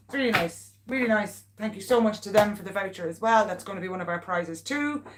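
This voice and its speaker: Speaking at a fairly quick pace with a Meath Irish accent, a woman swings her pitch very widely over noticeable background noise. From Ireland, Navan. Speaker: local pet business owner and vlogger. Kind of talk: casual livestream chat. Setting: live stream at home. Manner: animated.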